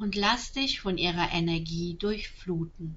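At a very slow pace, a woman talks in a calm, gentle tone. Her medium pitch follows a fairly even intonation. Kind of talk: guided meditation. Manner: slow, soft-spoken, soothing; calm, gentle, with long pauses.

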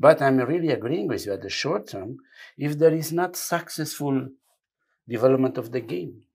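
A man speaks with a non-native accent and a fairly high pitch. His intonation is lively. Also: moderate pace, big swings in loudness. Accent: foreign. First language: not English. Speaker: football federation technical director. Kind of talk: interview. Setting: studio. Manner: halting.

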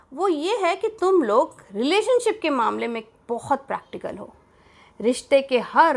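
A woman's pitch swings very widely as she talks in a quiet setting. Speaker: podcast host, storyteller. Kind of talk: scripted narration, letter read aloud. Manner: animated.

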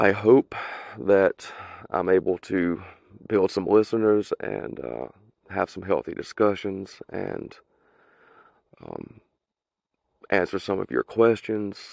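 A man with an American accent and a fairly low pitch speaks at a very slow pace with long, frequent pauses, ordinary pitch variation and big swings in loudness, in a dry, close recording with no echo that is very clean with a silent background. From US South. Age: 30s. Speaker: podcast host. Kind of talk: solo opinion monologue, mostly unscripted. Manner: passionate, political rant.

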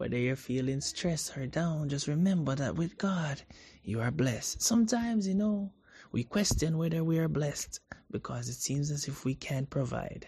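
With a fairly high pitch, a man talks at a moderate pace in a soothing, upbeat tone that is dark and mellow, somewhat breathy, with lively intonation. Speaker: radio host. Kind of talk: radio DJ patter, warm and devotional, introducing gospel songs between tracks. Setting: radio broadcast. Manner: smooth, soothing, upbeat and reassuring, repeating a catchphrase and topic.

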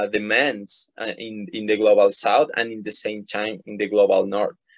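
Someone speaks with a Spanish accent. The intonation stays fairly even. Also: man. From Ecuador. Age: 20s. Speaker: environmental activist. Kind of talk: interview. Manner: halting, many repetitions and fillers.

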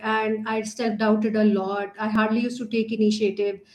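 The speaker talks at a moderate pace in a Pakistani accent. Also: woman. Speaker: learning and development trainer, nonprofit co-founder. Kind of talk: casual interview conversation.

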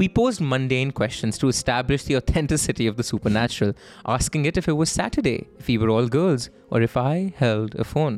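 A man with a plain, everyday voice talks at a fairly quick pace, his medium pitch showing ordinary variation. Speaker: podcast host. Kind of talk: horror story narration read aloud. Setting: studio.

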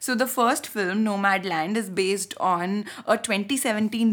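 With an Indian accent, a woman speaks at a medium pitch. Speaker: podcast host. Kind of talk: casual chat, film discussion.

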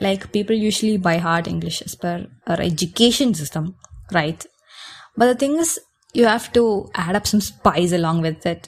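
A woman's somewhat breathy, medium-pitched voice at a moderate pace with ordinary pitch variation. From India, Kerala (Kochi). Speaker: podcaster. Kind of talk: casual Q&A monologue.

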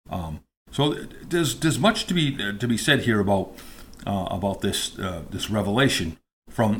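The recording is very clean with a silent background as a man speaks at a moderate pace in a somewhat breathy voice. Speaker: podcast host. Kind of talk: solo political commentary podcast. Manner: halting, filler-heavy.

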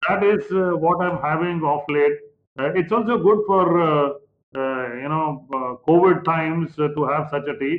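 A man with an Indian accent, at a fairly high pitch and fairly slow pace, with ordinary pitch variation. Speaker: chef and co-host. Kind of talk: casual chat.

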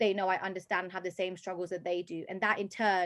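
A woman speaks in a London accent. Her pitch is medium and her pace fairly quick. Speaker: personal trainer and fitness competitor. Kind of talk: casual interview chat.

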